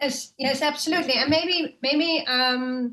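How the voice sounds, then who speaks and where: Fairly slow speech in a Dutch accent with ordinary pitch variation. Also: woman. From Netherlands. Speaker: legal researcher. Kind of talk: panel presentation. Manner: halting, many fillers.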